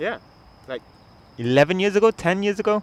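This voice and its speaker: A man with a Malaysian accent speaks with very wide pitch swings. Noticeable background noise is present. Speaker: podcast host. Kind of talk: casual chat. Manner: halting.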